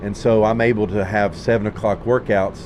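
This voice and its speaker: A fairly low-pitched man's voice with monotone, flat intonation against noticeable background noise. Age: 40s. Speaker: high school football coach. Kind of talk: casual chat.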